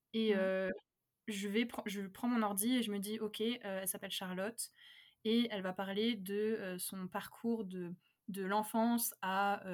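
On a very clean recording with a silent background, a woman speaks at a fairly slow pace in a medium pitch with monotone, flat intonation. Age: 20s. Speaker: novelist. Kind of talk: casual chat.

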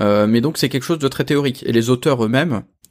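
A man's voice with ordinary pitch variation. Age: 40s. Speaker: engineer and author. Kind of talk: interview.

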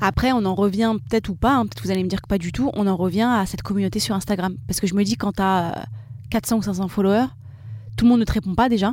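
Somewhat breathy and medium in pitch, a woman talks at a very fast pace with ordinary pitch variation. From France, Seine-Saint-Denis (93). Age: 30s. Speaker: e-commerce founder. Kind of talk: live podcast interview. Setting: live recording at a festival.

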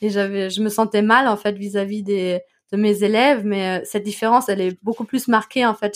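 At a medium pitch and moderate pace, a woman speaks with monotone, flat intonation. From Germany, Ruhr area (Bochum). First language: German (speaking French). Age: 20s. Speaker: German expatriate, podcaster and teacher. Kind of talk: interview. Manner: hesitant, many fillers.

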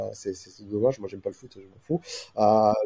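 A man is speaking. His pace is fairly quick. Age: 40s. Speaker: AI and SEO specialist. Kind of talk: casual interview. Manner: halting with many repetitions.

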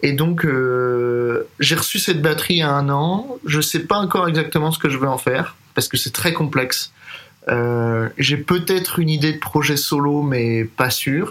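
At a fairly slow pace, a man with an ordinary speaking voice and fairly high pitch talks with ordinary pitch variation and very even loudness. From Paris, France. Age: 30s. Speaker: jazz drummer and composer. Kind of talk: interview.

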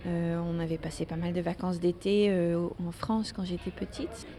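A woman's medium-pitched voice at a fairly slow pace with fairly even intonation. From Netherlands. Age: 30s. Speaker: interviewee. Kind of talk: casual chat. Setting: café. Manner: halting.

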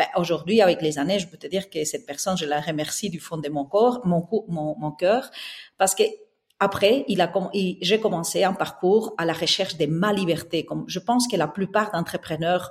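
With a Spanish accent, a woman speaks at a medium pitch and a moderate pace, her voice somewhat breathy. Her pitch varies in an ordinary way while her loudness swings widely. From southern Spain. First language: Spanish (speaking French). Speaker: interior architect and entrepreneur. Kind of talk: interview. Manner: halting.

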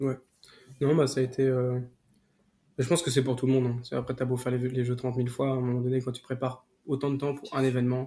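A man with a dark, mellow, somewhat breathy voice speaks at a medium pitch and a very fast pace. His intonation is monotone and flat, and he takes long, frequent pauses. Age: 20s. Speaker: paralympic sprinter. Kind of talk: interview. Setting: at home.

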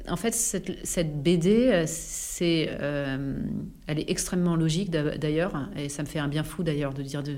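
Audible room echo surrounds a woman whose very deep, low voice shows ordinary pitch variation. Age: 40s. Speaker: health network founder, former public health official. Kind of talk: casual interview. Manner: animated.

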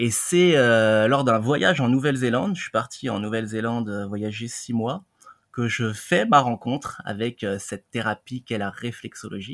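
In an ordinary speaking voice, the man keeps a medium pitch and a moderate pace. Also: ordinary pitch variation. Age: 30s. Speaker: reflexologist. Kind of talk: interview.

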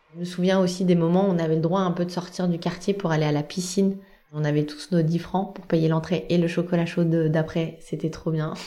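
Flat, monotone female speech, fairly low in pitch and fairly quick, with audible room echo. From central France, Blois. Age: 30s. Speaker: communications worker. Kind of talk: personal testimony. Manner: casual with frequent hesitations.

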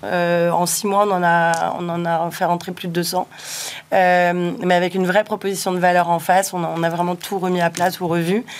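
A woman talks in a fairly low pitch. Her delivery is fairly slow, monotone and flat. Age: 40s. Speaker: startup network director. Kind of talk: interview. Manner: hesitant.

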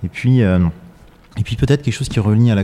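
A dark, mellow tone belongs to this male speaker. He shows ordinary pitch variation. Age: 40s. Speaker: architect-engineer, company president. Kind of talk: interview. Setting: factory workshop.

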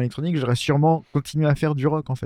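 Over a quiet background, a man speaks in a dark, mellow tone with a dry, close sound and no echo. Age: 30s. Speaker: electronic music producer. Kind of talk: casual chat.

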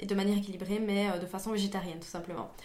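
A woman speaks at a medium pitch with monotone, flat intonation. Room echo is audible. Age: 20s. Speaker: engineer and climate activist. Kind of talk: podcast interview.

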